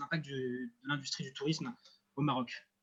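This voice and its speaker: Somewhat breathy, the man's voice moves at a rather quick pace. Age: 20s. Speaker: student and association founder. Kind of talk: project presentation. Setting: at sea.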